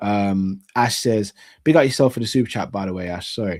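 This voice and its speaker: A man with a London accent, fairly low in pitch, with ordinary pitch variation and a fairly quick pace. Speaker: sports YouTube host. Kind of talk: live Q&A chat reading audience comments. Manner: casual, with many fillers and repetitions.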